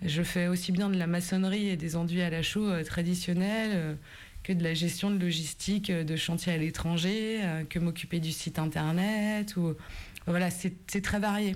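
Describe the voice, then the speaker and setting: Her pitch sits fairly low for a woman. She speaks at a fairly slow pace with very even loudness. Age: 40s. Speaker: island fort resident and rigging worker. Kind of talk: interview. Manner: hesitant.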